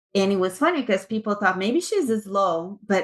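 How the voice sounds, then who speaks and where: A woman with a Brazilian Portuguese accent. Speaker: tech executive. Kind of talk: interview.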